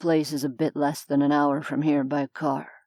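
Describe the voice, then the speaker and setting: In a put-on character voice, a woman growls at a very deep, low pitch with flat, monotone intonation at a moderate pace, recorded very cleanly against a silent background. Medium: read story. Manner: curt, sardonic.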